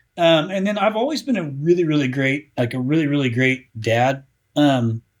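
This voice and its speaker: Using a plain, everyday voice, a man with an American accent talks at a moderate pace, fairly high in pitch and lively in intonation. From US Midwest, Indiana. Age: 40s. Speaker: marketing company founder. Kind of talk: podcast interview. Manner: casual, filler-heavy.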